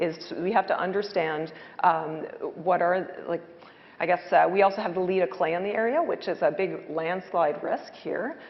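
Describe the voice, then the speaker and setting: The speaker talks at a moderate pace with fairly even intonation, and noticeable background noise runs underneath. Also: woman, fairly low pitch for a woman. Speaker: hydrogeologist. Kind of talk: panel discussion. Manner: loud; hesitant, many fillers.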